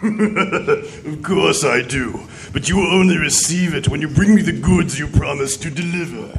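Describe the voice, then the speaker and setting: A man's put-on character voice, high for a man, at a moderate pace over clear background noise. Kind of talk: pulp radio drama villain. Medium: audio drama. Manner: menacing.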